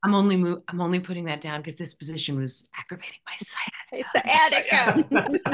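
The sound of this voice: A female-sounding voice performs a put-on character voice, gravelly and at medium pitch, moving at a moderate pace with hardly any pauses.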